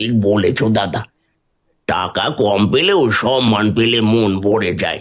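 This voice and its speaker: A man's cartoonish character voice, raspy and medium in pitch, at a fairly slow pace with ordinary pitch variation. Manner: worried, cautious.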